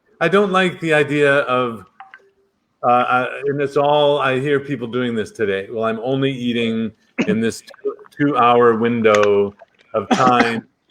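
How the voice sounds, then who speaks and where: A man talks in a plain, everyday voice. His pitch is medium, with ordinary variation. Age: 60s. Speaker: doctor. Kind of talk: interview.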